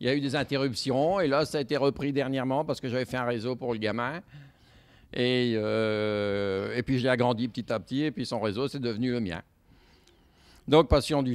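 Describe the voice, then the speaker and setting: At a moderate pace and medium pitch, a man speaks with ordinary pitch variation on a very clean recording with a silent background. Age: 60s. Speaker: model railway hobbyist. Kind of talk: interview. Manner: halting, many hesitations.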